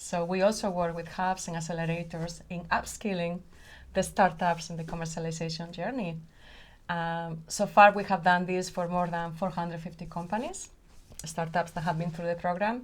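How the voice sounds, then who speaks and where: A woman speaks at a moderate pace with a Spanish accent, her pitch fairly low. Her delivery is monotone and flat, and somewhat breathy. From Spain. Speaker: company founder and CEO. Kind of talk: podcast interview.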